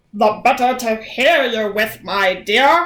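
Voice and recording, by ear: A female-sounding, put-on character voice with fairly high pitch for a woman moves at a fairly slow pace.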